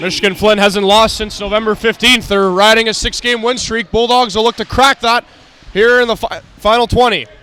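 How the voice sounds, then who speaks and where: A high-pitched man's raised, projected voice, fairly quick and monotone, over noticeable background noise. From Canada, Toronto, Ontario. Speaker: hockey play-by-play commentator. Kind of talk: live commentary.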